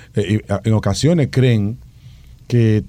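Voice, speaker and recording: A man's fairly low, dark, mellow voice with lively intonation. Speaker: education specialist. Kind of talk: radio interview.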